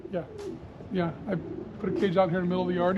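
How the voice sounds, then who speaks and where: Talking at a very fast pace, a man uses a high pitch while noticeable background noise carries on behind him. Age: 60s. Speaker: pigeon fancier. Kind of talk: casual chat.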